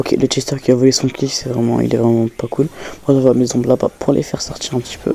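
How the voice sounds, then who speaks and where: Soft-spoken and very fast, the speech runs in a flat monotone. Noticeable background noise sits underneath. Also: man, medium pitch for a man. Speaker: gaming youtuber. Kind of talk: gameplay commentary voiceover. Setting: home recording late at night. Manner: casual.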